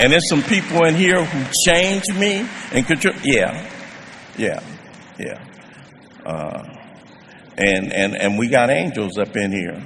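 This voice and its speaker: A man talks at a fairly slow pace with long, frequent pauses, his fairly high pitch swinging very widely. Noticeable background noise and audible room echo are in the recording. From US West Coast (South Central Los Angeles). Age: 70s. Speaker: recovery speaker. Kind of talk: testimony. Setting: stage with audience.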